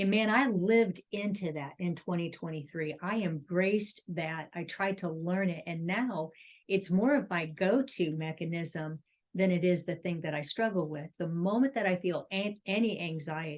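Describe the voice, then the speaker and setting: Speaking in a normal speaking voice, a woman keeps a fairly low pitch, a moderate pace and ordinary pitch variation. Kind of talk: casual chat.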